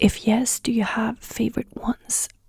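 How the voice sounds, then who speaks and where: The voice has a dark, mellow tone and a fairly slow pace, with a dry, close sound and no echo. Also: woman. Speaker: ASMR creator. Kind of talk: casual talk to camera, Q&A. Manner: soft-spoken, friendly, rambling.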